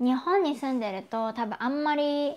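The intonation is lively as this woman speaks. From Japan. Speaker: YouTuber. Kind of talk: live stream chat. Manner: casual, chatty. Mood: friendly, cheerful. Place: home room. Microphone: lapel.

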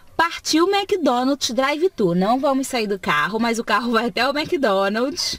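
A fairly slow pace in a dry sound with no echo. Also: woman, high pitch for a woman. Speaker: mother vlogger filming. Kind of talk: casual vlog narration. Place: car.

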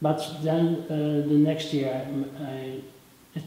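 A man with a Dutch accent and monotone, flat intonation, over light background noise and audible room echo. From Netherlands. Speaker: rock photographer. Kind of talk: interview answer. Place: hall.

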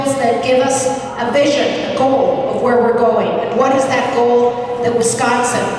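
A woman with a high voice talks at a moderate pace amid noticeable background noise and strong room echo. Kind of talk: rally speech. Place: hall.

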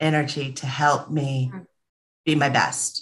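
A woman with a Californian accent speaks very slowly in a very deep, low voice. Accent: California American English. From Los Angeles, US. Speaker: entrepreneur, former corporate director; podcast guest. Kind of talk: casual chat. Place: home room. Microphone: video call.

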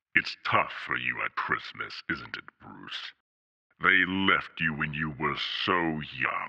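A man talks at a very slow pace. His pitch is very deep and low. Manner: sneering, taunting.

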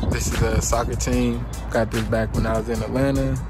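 Loud music plays in the background as a man talks at a fairly slow pace, his voice dry with no echo. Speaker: vlogger. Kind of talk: casual vlog chat. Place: street. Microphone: phone near.

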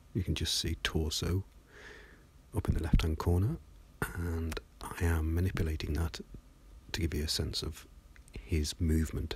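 Speech moves at a moderate pace. It is delivered with a British accent. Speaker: 3D animation tutorial narrator. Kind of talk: casual, dry humour.

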